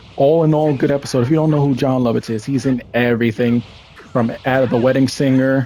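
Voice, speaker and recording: A man's medium-pitched voice at a fairly quick pace, with fairly even intonation and very even loudness. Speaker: gaming YouTuber. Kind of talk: casual commentary review. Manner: halting, many fillers.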